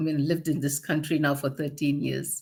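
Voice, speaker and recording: A woman with a strong Malaysian accent on a very clean recording with a silent background. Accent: Malaysian, still strong. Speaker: podcast co-host, personal transformation coach. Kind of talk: casual podcast conversation.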